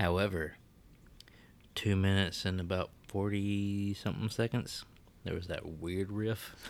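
In a Southern US accent, a man speaks fairly slowly at a fairly low pitch with monotone, flat intonation and long, frequent pauses. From Alabama. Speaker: podcast co-host, music reviewer. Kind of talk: casual chat.

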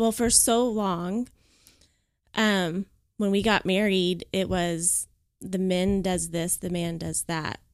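Very clean recording with a silent background, a woman of medium pitch speaking very slowly with fairly even intonation and long, frequent pauses. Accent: American. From Oklahoma. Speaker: podcast guest. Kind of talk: testimony.

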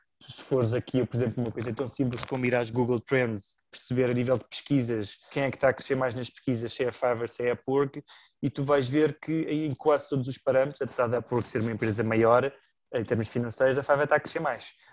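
Against a quiet background, a man speaks at a very fast pace. His pitch is medium and his intonation fairly even. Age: 30s. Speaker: amateur investor, works in advertising. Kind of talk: casual interview.

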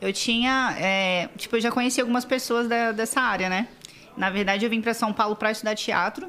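A woman with a plain, everyday voice speaks at a fairly quick pace and a fairly high pitch, with ordinary pitch variation and very even loudness. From Espírito Santo, Brazil (Vila Velha). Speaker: model and digital influencer. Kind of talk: casual chat.

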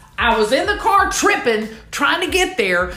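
Over music in the background, a woman speaks in an animated tone. Her pitch swings very widely, and there is audible room echo. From US South, Southeast Houston, Texas. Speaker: podcast host, recovery mentor. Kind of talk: motivational monologue.

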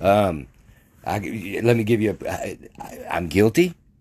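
Speaking in a fairly low register, a male talker has an American accent. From Arkansas (Mandeville, near Texarkana). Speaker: podcaster. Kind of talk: casual monologue. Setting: bedroom. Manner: halting, many fillers and restarts.

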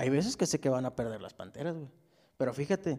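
This man speaks at a fairly high pitch with ordinary pitch variation. His tone is dark and mellow. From Ciudad Juárez, northern Mexico. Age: 30s. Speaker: podcast host. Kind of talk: casual chat. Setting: remote call.

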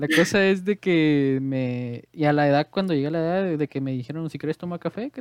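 Against a quiet background, the speaker talks at a fairly quick pace. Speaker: podcast host. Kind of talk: casual chat. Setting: video call.

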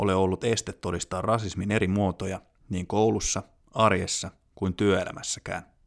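A man with a fairly low pitch and an ordinary speaking voice, at a moderate pace, in a dry, close sound with no echo, with a very clean recording and silent background. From Finland. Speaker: podcast host. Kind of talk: scripted narration. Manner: formal.

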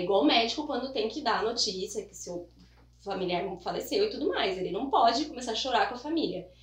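With audible room echo and noticeable background noise, a woman speaks at a fairly high pitch with lively intonation. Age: 30s. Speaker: newspaper reporter. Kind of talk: casual interview.

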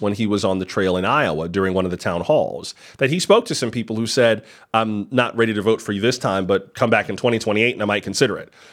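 Very clean and set against a silent background, the recording has a man with an unremarkable speaking voice talking fairly quickly at a fairly low pitch. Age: 40s. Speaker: podcast host. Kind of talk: casual commentary livestream. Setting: livestream.

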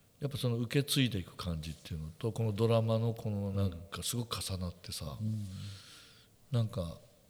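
A man with an unremarkable speaking voice talks at a fairly quick pace, his pitch fairly low and its variation ordinary. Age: 60s. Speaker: photographer and podcast co-host. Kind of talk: casual chat.

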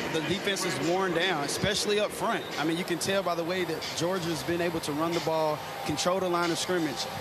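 Noticeable background noise runs under a man with a high pitch speaking at a fairly quick pace with hardly any pauses. His intonation is monotone and flat, and his loudness stays very even. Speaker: radio color analyst, former player. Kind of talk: live commentary analysis. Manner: conversational, explanatory.

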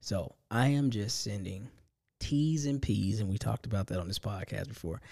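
A man with an American accent speaks at a moderate pace, his fairly low voice somewhat breathy with a dark, mellow tone and ordinary pitch variation. The recording is very clean, with a silent background. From US, low-income housing projects. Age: 40s. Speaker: solo podcast host. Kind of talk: casual solo monologue.

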